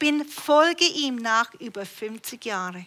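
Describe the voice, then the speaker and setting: Her intonation is lively as the woman speaks. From Canada. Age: 60s. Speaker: preacher. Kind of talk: sermon. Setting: church.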